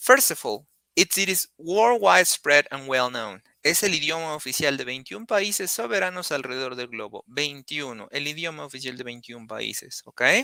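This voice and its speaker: A fairly high-pitched man with a Spanish accent, bright and sharp in tone, with lively intonation at a fairly quick pace, in a dry, close sound with no echo. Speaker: Spanish teacher. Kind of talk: online lesson, bilingual explanation. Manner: hesitant, with fillers.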